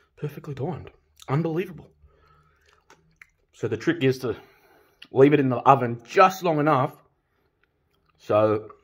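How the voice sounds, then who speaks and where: A somewhat breathy man at a moderate pace with lively intonation. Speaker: home cook vlogger. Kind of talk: casual vlog chat. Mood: delighted, enthusiastic. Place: home room. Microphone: phone near.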